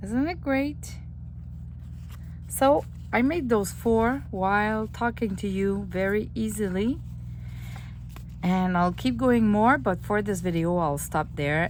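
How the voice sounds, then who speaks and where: A woman speaks with a French accent at a fairly slow pace, with audible room echo. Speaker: junk journal crafter. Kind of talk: craft tutorial.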